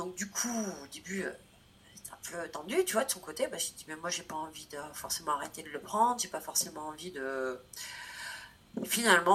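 Noticeable background noise surrounds a woman whose voice sits fairly low in pitch. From France, Corrèze. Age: 30s. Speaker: travel blogger. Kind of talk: interview conversation.

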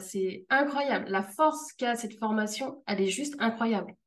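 Fairly high-pitched, a woman speaks at a moderate pace with ordinary pitch variation. It is a normal speaking voice. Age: 30s. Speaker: freelance customer care manager. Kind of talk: interview testimony.

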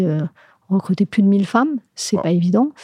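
A woman speaks with a dark, mellow tone, somewhat breathy, with lively intonation. The sound is dry and close, with no echo. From Morocco, Casablanca. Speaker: HR director of a large bank. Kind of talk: interview.

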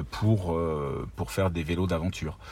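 Ordinary pitch variation at a fairly slow pace. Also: man. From northeastern France, Ardennes. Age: 50s. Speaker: bike brand founder and engineer. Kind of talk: interview. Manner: halting, many repetitions.

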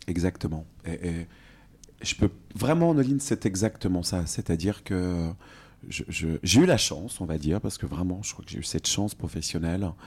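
Somewhat breathy and very deep, a man talks at a moderate pace with ordinary pitch variation. His loudness swings widely in a very clean recording with a silent background. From France, Franche-Comté. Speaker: cosmetics brand co-founder. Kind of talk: interview. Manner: halting.

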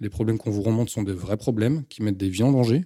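This is a plain, everyday voice from a man with a fairly low pitch and ordinary pitch variation. The sound is dry and close with no echo, on a very clean recording with a silent background. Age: 30s. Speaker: soldier on sick leave with combat trauma. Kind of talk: testimony.

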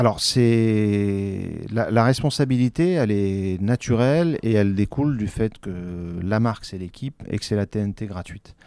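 Over a very clean recording with a silent background, a man with a dark, mellow tone and fairly low pitch talks at a fairly slow pace. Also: ordinary pitch variation. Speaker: sports journalist. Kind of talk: interview. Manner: halting.

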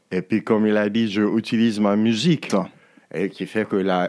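Speaking at a fairly slow pace, a man keeps his fairly low voice in a fairly even intonation. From Nigeria. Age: 60s. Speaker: musician and author. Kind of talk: interview. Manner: halting.

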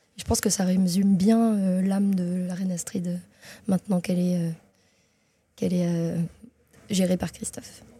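A woman talks at a moderate pace. Her voice is somewhat breathy, with a dark, mellow tone. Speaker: graphic designer and marketer. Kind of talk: interview. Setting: chocolate shop.

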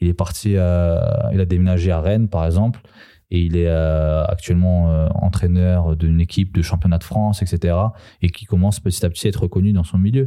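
This voice has a dark, mellow tone, fairly even intonation and very even loudness, moving at a fairly quick pace in a very clean recording with a silent background. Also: man, very deep, low pitch for a man. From Paris suburbs (Seine-Saint-Denis). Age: 20s. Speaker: former basketball player. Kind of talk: casual chat. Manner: halting, many fillers.

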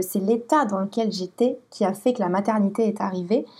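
With a dark, mellow tone and a somewhat breathy quality, a woman speaks at a medium pitch and moderate pace with ordinary pitch variation. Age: 30s. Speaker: blogger and photographer. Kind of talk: interview about personal life. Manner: halting, many repetitions and hesitations.

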